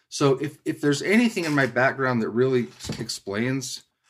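An unremarkable speaking voice belongs to this man, who has an American accent, a medium pitch, lively intonation and a moderate pace. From Utah. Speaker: environmental lawyer. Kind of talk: casual interview.

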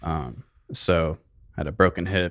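A man with an American accent talks with vocal fry. The recording is very clean, with a silent background. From Arizona, Phoenix area. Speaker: hash maker, cannabis business owner. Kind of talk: casual interview. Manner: soft-spoken.

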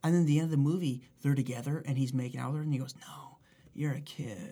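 This man's somewhat breathy voice, its pitch varying in an ordinary way, comes through on a very clean recording with a silent background. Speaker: podcast co-host. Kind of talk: casual chat.

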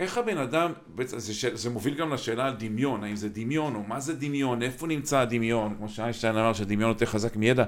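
In a normal speaking voice, a man at medium pitch talks at a fairly quick pace with ordinary pitch variation and hardly any pauses. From Israel, Kiryat Motzkin. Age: 50s. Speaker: podcast host. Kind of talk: interview conversation.

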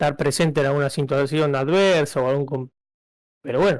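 Speaking at a very fast pace, a man with a fairly high pitch comes through in a very clean recording with a silent background. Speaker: podcast co-host. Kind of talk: casual chat.

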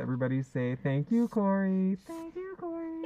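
Someone uses a put-on character voice at a middle pitch. The pace is moderate. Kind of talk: simple, teacherly. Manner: sweet, sing-song, patient.

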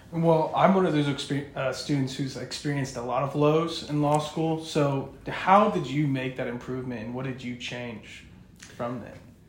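A man speaks with ordinary pitch variation and big swings in loudness. Noticeable noise sits in the background. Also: fairly high pitch for a man, moderate pace. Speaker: law student podcast co-host. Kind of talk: interview.

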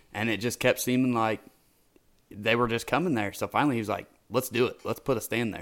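Speaking at a medium pitch and fairly quick pace with fairly even intonation, a man uses a plain, everyday voice in a very clean recording with a silent background. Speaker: co-host. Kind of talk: casual chat.

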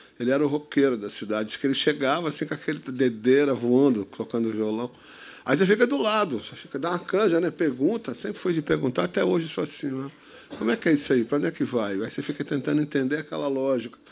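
This man talks at a very fast pace with lively intonation. His pitch is fairly high. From Santos, São Paulo state, Brazil. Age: 60s. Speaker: instrumental musician. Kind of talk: casual interview chat. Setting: stage with live audience.

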